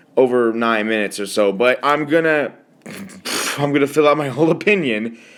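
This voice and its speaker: The speaker talks at a fairly quick pace with ordinary pitch variation. Noticeable background noise runs underneath. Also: man, medium pitch for a man. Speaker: youtuber. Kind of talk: casual rant. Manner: stutters at times; halting, many fillers.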